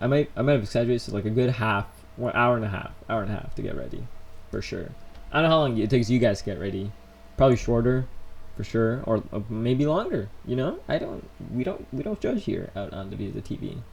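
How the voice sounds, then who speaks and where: Speaking at a very fast pace, a man holds a medium pitch. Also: ordinary pitch variation. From United States (born in Colombia, moved at three). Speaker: vlogger. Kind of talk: live stream Q&A. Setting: in his room. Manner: casual, rambling with fillers.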